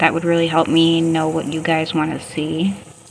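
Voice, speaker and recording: Noticeable background noise beneath a woman speaking fairly low in pitch. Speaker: beauty and wellness vlogger. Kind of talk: skincare tutorial voiceover. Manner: casual, slow-paced.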